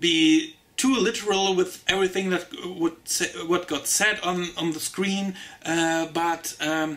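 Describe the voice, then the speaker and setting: A man with a German accent speaks at a very slow pace in a raised, projected voice, high in pitch, over noticeable background noise. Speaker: TV show reviewer. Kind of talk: casual review monologue. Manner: halting, many fillers.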